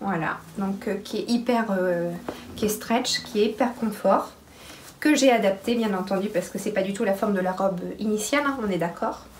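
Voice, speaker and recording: Moderate-paced speech with ordinary pitch variation, audible room echo and noticeable background noise. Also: woman, medium pitch for a woman. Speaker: sewing podcaster. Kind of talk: casual chat.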